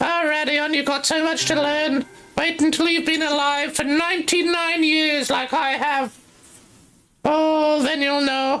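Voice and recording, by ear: High-pitched and monotone, the put-on character voice stays flat in its intonation. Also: fairly slow pace.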